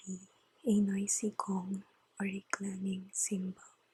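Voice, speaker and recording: A soft-spoken woman at a very slow pace, somewhat breathy, with a calm, dark, mellow tone, flat monotone intonation and a dry, close sound with no echo. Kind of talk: ASMR Bible reading and devotion. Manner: soft-spoken, calm.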